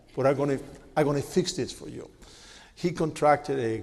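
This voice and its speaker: Speaking with a strong Cuban accent, a man uses ordinary pitch variation. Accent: heavy Cuban Spanish. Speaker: media executive, panelist. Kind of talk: panel talk. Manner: animated.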